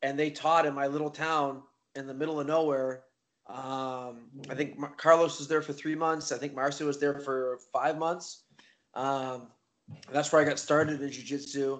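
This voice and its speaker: A man with a Maritime Canadian accent, fairly high-pitched and monotone, at a moderate pace. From Nova Scotia, eastern Canada. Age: 30s. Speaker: jiu-jitsu competitor and instructor. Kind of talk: casual interview chat.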